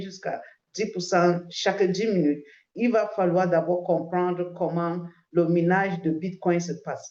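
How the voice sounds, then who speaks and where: Fairly slow speech from a woman at medium pitch, dark and mellow in tone. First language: English (speaking French). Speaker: crypto promoter. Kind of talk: sales pitch. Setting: video call. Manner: halting, many hesitations.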